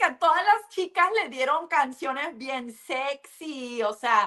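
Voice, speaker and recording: A woman uses a raised, projected voice and an animated tone, her pitch swinging very widely at a fairly slow pace. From US, California (Los Angeles area). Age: 30s. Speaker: businesswoman, former reality show contestant. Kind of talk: interview.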